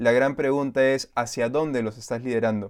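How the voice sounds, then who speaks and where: A man with a Peruvian accent speaks at a moderate pace and medium pitch, his intonation fairly even. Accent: Peruvian Spanish (Lima). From Lima, Peru. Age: 20s. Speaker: youth pastor. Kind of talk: casual interview chat.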